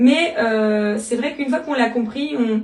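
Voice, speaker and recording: A woman's high voice comes through with audible room echo and noticeable background noise. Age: 30s. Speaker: network marketing member and school assistant. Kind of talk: interview testimony. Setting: interview. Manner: hesitant, many fillers.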